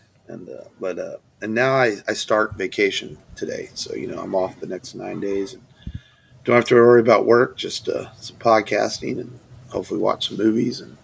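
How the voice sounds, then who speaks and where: A man's loudness rises and falls sharply as he talks at a moderate speed. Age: 40s. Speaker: podcast host. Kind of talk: casual chat.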